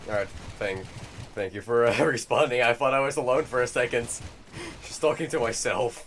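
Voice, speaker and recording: With noticeable background noise behind him, a man of medium pitch speaks at a fairly quick pace with ordinary pitch variation and long, frequent pauses. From Netherlands. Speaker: gaming streamer. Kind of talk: live stream gaming chat. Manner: halting, many fillers.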